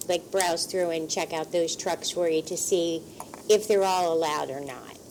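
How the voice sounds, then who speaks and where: A woman with a fairly low pitch talks at a moderate pace, her intonation fairly even. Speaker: borough council member. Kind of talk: council meeting discussion. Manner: soft-spoken.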